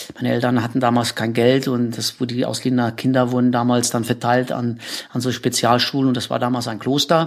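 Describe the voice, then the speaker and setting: A man of medium pitch at a fairly quick pace, with noticeable background noise. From Czechoslovakia, south of the Krkonoše mountains. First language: Czech (speaking German). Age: 50s. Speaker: rock climber. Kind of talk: interview. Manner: halting, many fillers and repetitions.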